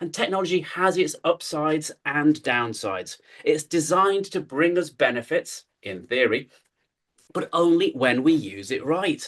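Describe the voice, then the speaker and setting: Lively intonation at a fairly slow pace, in a British accent. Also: man. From UK. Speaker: keynote speaker. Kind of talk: conference talk. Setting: stage with audience. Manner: animated.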